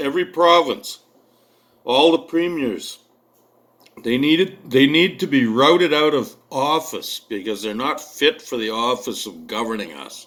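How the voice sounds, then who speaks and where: A man with a Canadian prairie accent speaks at a fairly slow pace, his fairly high voice carrying lively intonation and big swings in loudness. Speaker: military veteran sharing political views. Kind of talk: political video monologue. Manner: impassioned.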